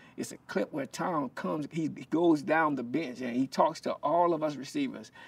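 With a Southern US accent, a man talks at a fairly slow pace in a fairly high pitch. His pitch swings very widely. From South Carolina. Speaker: former football player and minister. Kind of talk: casual interview. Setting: in person at his ministry. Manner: halting, many repetitions.

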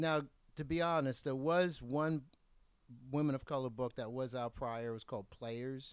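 With ordinary pitch variation and a medium pitch, a man uses an ordinary speaking voice at a middling tempo. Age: 60s. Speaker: adult magazine publisher. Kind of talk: casual chat. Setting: at home.

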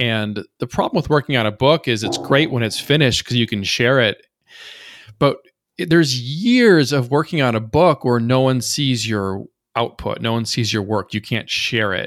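In a very clean recording with a silent background, a man uses an ordinary speaking voice at medium pitch and a moderate pace, with ordinary pitch variation. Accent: American. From rural Minnesota, US Midwest. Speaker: poet and meme creator. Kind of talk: casual interview conversation.

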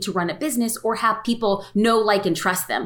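A woman speaks at a very fast pace with a fairly high pitch. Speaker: photographer and social media educator. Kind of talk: casual interview. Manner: fast talker.

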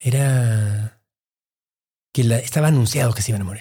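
A man speaks at a moderate pace. His voice is somewhat breathy, with a dark, mellow tone. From Mexico City (raised), born in Peru. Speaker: investor and healthcare executive. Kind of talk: interview, personal testimony. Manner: halting, many fillers.

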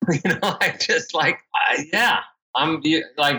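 His voice raised and projected, a man speaks in a bright, sharp tone with very wide pitch swings. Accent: New York. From New York (Queens). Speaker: endurance race entrepreneur. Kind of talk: interview.

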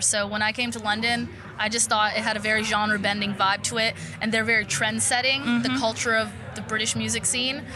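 Over noticeable background noise, a woman talks at a fairly quick pace. Her voice is fairly high, with fairly even intonation. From Poland. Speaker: singer. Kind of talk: interview. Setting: in person at music event.

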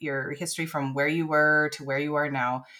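The recording is very clean, with a silent background. The voice has a bright, sharp tone. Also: woman. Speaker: podcast host. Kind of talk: casual interview.

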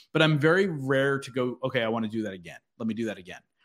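A man's animated, medium-pitched voice at a fairly quick pace. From Philadelphia area, US. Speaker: podcaster and business coach. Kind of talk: interview.

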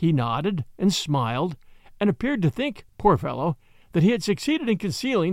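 Words are being read aloud in a natural voice.

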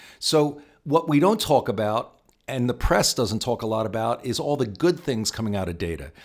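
The recording is very clean, with a silent background. A man talks at medium pitch and a moderate pace, his intonation lively. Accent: Philadelphia. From Philadelphia, US. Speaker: tech company CEO. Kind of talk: interview.

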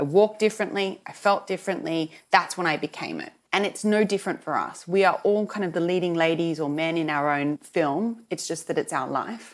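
With an Australian accent, a woman of fairly low pitch and ordinary pitch variation talks at a moderate pace on a very clean recording with a silent background. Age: 40s. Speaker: television journalist and fashion entrepreneur. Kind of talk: interview conversation.

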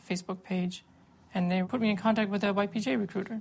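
A woman speaks in a somewhat breathy voice at a moderate pace, her intonation monotone and flat. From Canada. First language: English (speaking French). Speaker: former volunteer fighter against ISIS. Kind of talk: interview.

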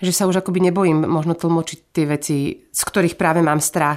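This woman's voice sits at a fairly low pitch and stays monotone, with flat intonation. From Slovakia. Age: 40s. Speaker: singer. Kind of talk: casual chat.

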